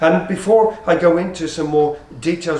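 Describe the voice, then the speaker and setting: A man's fairly high voice with ordinary pitch variation, audible room echo and noticeable background noise. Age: 60s. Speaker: preacher. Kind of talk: sermon.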